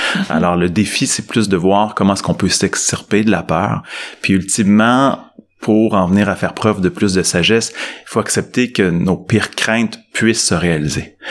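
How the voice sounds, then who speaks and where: Delivered at a moderate pace, the speech has a normal speaking voice with ordinary pitch variation. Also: man, fairly low pitch for a man. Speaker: psychologist and management professor. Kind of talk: interview.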